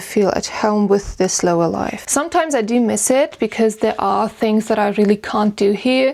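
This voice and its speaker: A woman speaks with a German accent. Her pitch is fairly high. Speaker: vlogger and musician. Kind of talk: casual Q&A.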